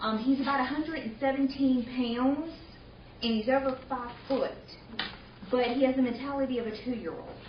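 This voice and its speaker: A woman with a Southern US accent and a high pitch speaks at a moderate pace with fairly even intonation and long, frequent pauses, amid noticeable background noise and audible room echo. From US South, Mobile, Alabama. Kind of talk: presentation. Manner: halting, many fillers.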